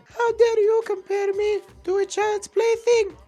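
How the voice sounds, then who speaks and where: A put-on character voice, extremely high and flat in a monotone, moves at a fairly slow pace. Faint music plays in the background. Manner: mock-offended, theatrical.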